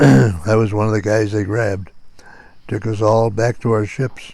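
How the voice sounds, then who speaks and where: A man with an American accent speaks at a moderate pace in a fairly low pitch. His tone is dark and mellow, and somewhat breathy. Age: old. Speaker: Korean War Navy veteran. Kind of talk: casual storytelling, recorded by family.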